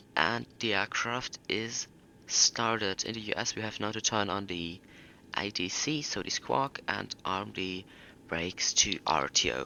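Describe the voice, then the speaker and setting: Fairly low in pitch and with vocal fry, a man with a German accent speaks at a fairly slow pace. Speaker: flight simulator youtuber. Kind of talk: tutorial.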